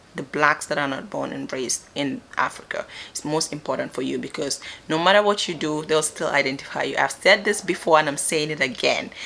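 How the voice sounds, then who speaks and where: A woman's very deep, low voice at a fairly quick pace, with ordinary pitch variation and noticeable background noise. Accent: Gambian. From Gambia. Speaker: vlogger. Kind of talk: casual advice talk to camera.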